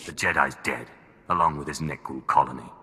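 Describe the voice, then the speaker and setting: This is a put-on character voice with a growling sound. It moves at a fairly quick pace. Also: man, very deep, low pitch for a man. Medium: video game. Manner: sardonic, cold.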